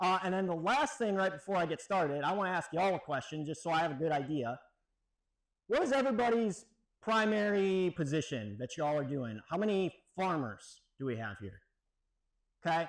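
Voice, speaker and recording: A man speaks loudly at a high pitch and a moderate pace, his voice making very wide pitch swings. The recording is very clean with a silent background. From Wisconsin. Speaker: extension weed scientist, professor. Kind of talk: keynote lecture. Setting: stage with audience. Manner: casual, conversational. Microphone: no microphone, speaking unamplified.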